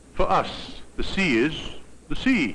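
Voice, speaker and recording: Vocal fry runs through a man's speech at a very slow pace. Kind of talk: educational documentary narration.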